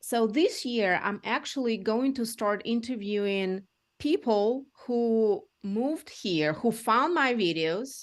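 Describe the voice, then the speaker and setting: A woman with a Russian accent and lively intonation against a quiet background. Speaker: real estate agent. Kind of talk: interview. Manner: halting.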